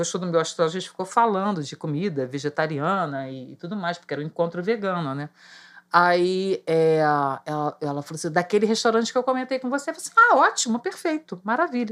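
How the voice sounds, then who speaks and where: With a plain, everyday voice, a woman speaks at a fairly low pitch, her loudness swinging widely. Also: lively intonation, fairly quick pace. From Rio de Janeiro, Brazil. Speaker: market vendor. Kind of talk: casual chat.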